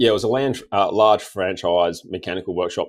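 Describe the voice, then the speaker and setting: With an Australian accent, a man speaks at a very fast clip and with ordinary pitch variation. The background stays quiet. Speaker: diesel tuning mechanic. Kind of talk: casual interview chat.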